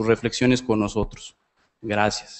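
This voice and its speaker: The speaker is a man with a Mexican accent. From Mexico. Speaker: audience member. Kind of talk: audience question. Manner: halting, many repetitions.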